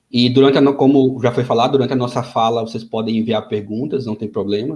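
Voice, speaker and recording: This man's voice has a dark, mellow tone and is somewhat breathy. He speaks at a fairly quick pace with fairly even intonation. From Brazil, Maceió (Alagoas, Northeast). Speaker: software developer, invited speaker. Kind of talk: webinar talk. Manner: halting, many fillers.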